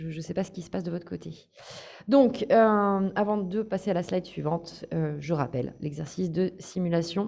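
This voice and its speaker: Against a quiet background, a woman speaks fairly slowly at a fairly low pitch, her dark, mellow tone marked by vocal fry and ordinary pitch variation. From France, Paris. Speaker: course trainer. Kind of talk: online training session.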